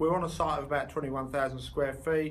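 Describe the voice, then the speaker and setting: Audible room echo surrounds a man as he speaks. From London, England. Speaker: body shop owner and trade association chair. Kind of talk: video interview for a conference. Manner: animated, jokey conversational.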